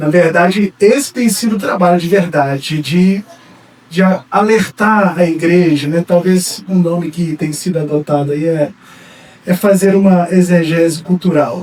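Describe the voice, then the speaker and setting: A man with a Minas Gerais accent speaks fairly slowly in a high pitch, his intonation fairly even, over noticeable background noise. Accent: mineiro. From Brazil, Minas Gerais. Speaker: pastor and psychologist. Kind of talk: sermon. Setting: church. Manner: halting, many fillers.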